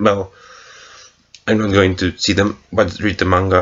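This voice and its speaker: The pace stays moderate. The speaker talks with a non-native accent. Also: man. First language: not English. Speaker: movie reviewer. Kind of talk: casual film review monologue. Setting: recorded late at night, past midnight. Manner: halting, many fillers and restarts.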